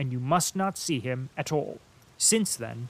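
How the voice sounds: What you hear is a natural reading voice.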